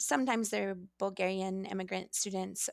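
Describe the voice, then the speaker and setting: A woman with a Pacific Northwest accent speaks in a flat monotone. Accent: general American (Pacific Northwest). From Oregon, US Pacific Northwest (Astoria). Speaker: middle school Spanish teacher. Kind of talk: interview conversation.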